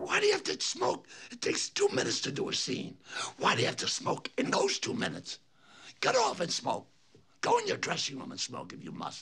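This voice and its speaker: Using a put-on character voice, a man sounds raspy as he talks at a fairly quick pace. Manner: scolding, irritated.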